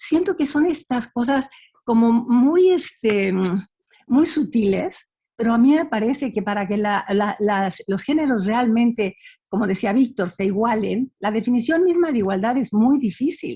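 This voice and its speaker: A woman speaks at a moderate pace in a fairly high voice. Her tone is dark and mellow, and her intonation is lively. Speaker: panelist. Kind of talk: panel discussion. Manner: halting.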